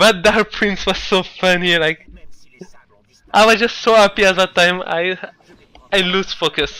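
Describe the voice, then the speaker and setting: A raised, projected voice with a bright, sharp tone and a non-native accent, fairly slow and fairly even in intonation, broken by long, frequent pauses. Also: man, high pitch for a man. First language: not English. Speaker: speedrunner. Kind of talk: gameplay commentary. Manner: hesitant.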